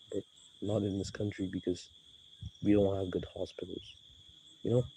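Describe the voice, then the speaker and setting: The man's voice is fairly low, dark and mellow, and somewhat breathy. He speaks at a moderate pace in a monotone, flat intonation. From Nigeria. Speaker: YouTuber. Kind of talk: casual vlog commentary. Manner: casual, rambling with fillers.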